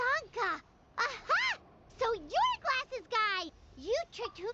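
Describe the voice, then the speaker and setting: Someone in a put-on character voice speaks at a fairly slow pace with an extremely high pitch. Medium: video game. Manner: energetic, loud.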